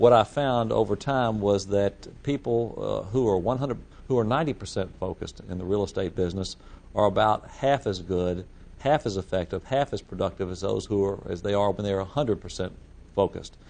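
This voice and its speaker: A man's voice with ordinary pitch variation, at a fairly quick pace. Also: fairly low pitch for a man. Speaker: real estate broker and risk management instructor. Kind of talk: lecture. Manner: fast; halting, many repetitions.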